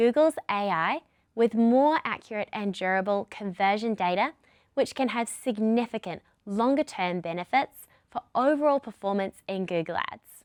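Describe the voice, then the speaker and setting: At a moderate pace, a woman with a fairly high pitch and a New Zealand accent speaks in a dry, close sound with no echo. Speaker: product lead presenter. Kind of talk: webinar presentation. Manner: scripted, clear.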